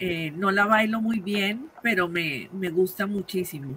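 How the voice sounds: A woman's fairly low voice with a slightly husky edge, fairly slow in pace, with ordinary pitch variation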